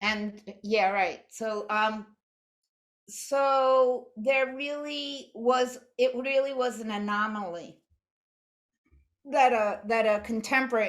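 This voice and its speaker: A woman with an American accent and ordinary pitch variation. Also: very clean recording, silent background. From New York. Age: 60s. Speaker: artist and art teacher. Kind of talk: lecture. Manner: halting.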